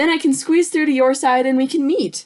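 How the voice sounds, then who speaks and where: Putting on a character voice, a woman speaks at a high pitch and fairly quick pace in a warm, upbeat tone. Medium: read story.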